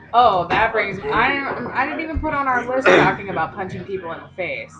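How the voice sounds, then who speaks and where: Against noticeable background noise, a woman talks at a fairly quick pace with a fairly high pitch and lively intonation. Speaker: podcast co-host. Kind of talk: casual chat. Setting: live recording in a coffee shop. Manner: loud; animated.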